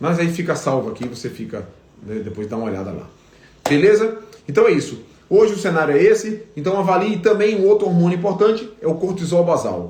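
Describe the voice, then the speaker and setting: A man's high, lively voice at a fairly quick pace, with big swings in loudness, audible room echo and noticeable background noise. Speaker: veterinarian. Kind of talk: live stream Q&A lecture. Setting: Instagram live stream. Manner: fast.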